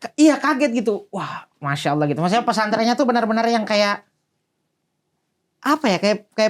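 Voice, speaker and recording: High in pitch, a man speaks at a moderate pace. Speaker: guest recounting pesantren life. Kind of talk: casual chat.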